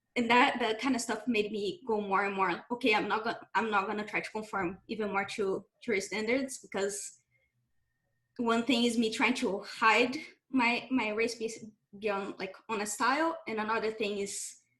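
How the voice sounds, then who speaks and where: This woman speaks with a Brazilian accent at a moderate pace. Her pitch is fairly high, with ordinary variation. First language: Portuguese. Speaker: game developer. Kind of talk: panel discussion.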